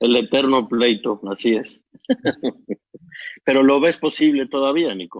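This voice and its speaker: Long, frequent pauses break up a man's fairly slow speech, which has ordinary pitch variation. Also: medium pitch for a man. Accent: Mexican. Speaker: documentary filmmaker, interviewer. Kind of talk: casual chat.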